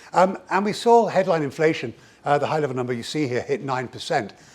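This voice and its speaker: This man has an English accent. He talks at a very fast pace. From England. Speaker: economist, keynote speaker. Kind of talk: keynote presentation. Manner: animated.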